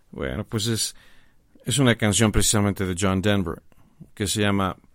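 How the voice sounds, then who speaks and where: A man's voice, with ordinary pitch variation, comes through on a very clean recording with a silent background. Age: 50s. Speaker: graphic designer and teacher. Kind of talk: interview.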